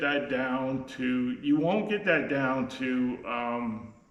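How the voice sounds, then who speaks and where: Audible room echo surrounds this voice. The speaker has a Canadian accent and ordinary pitch variation. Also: man. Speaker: sawmill owner. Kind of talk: unscripted tutorial. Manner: slow, halting; many fillers and repeats.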